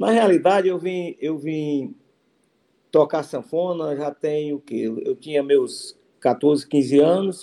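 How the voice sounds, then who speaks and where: Very slowly, a man speaks in a dark, mellow tone, his fairly high pitch showing ordinary variation. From Ceará interior, Brazilian Northeast (Cariús). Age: 50s. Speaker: forró musician, accordionist. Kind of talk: interview. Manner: halting, many repetitions.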